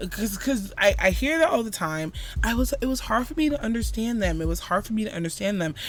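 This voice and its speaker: A woman with an American accent at a very fast pace, over noticeable background noise. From Florida, Jamaican mother. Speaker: podcast co-host. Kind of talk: casual chat. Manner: animated.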